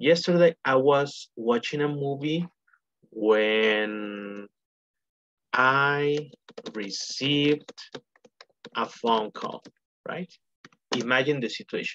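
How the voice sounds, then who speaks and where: Delivered at a very slow pace, the speech has long, frequent pauses. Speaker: English teacher. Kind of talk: online lesson explanation. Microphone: video call.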